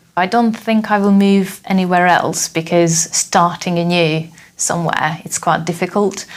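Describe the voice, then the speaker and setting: Over noticeable background noise, a woman speaks at a moderate pace in a fairly low, monotone, flat voice. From Hungary, southeastern. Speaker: software tester, former teacher. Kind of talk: interview.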